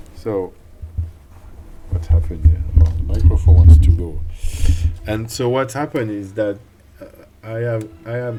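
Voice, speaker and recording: A man's fairly low voice with a French accent, lively intonation, a moderate pace and long, frequent pauses. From France. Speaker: illustrator and streamer. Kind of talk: live stream drawing tutorial commentary. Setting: home desk corner, live stream. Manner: halting, with frequent repetitions.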